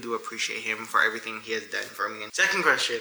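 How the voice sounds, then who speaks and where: A man speaks over noticeable background noise. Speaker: YouTuber, soldier. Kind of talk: casual Q&A vlog.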